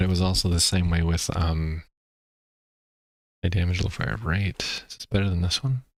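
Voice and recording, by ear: A low-pitched man's voice with a North American accent and fairly even intonation. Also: moderate pace.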